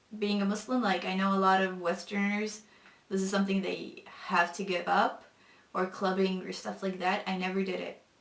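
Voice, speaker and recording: Amid audible room echo and noticeable background noise, the intonation stays fairly even. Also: woman. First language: non-English mother tongue. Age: 20s. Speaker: convert sharing faith story. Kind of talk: testimony. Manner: hesitant with many fillers.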